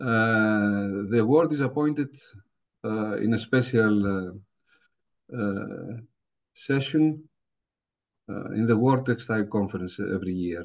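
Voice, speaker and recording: A man with a Greek accent speaks at a fairly slow pace and medium pitch. His pitch varies in an ordinary way, and he leaves long, frequent pauses. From Greece. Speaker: professor. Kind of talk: lecture. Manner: hesitant, many fillers.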